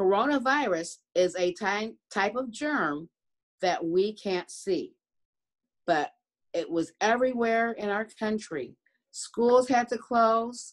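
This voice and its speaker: A woman at a very slow pace over a quiet background. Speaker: preschool teacher. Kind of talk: gentle talk to young children. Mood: warm, caring, slow. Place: home room. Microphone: phone near.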